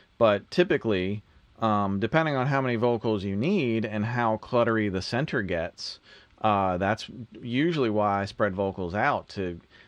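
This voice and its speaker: A man with a fairly low pitch speaks at a moderate pace, his pitch varying in an ordinary way. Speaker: music producer and mixing engineer hosting a livestream; mixing engineer livestream host. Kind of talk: live Q&A livestream. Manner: casual, conversational. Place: studio.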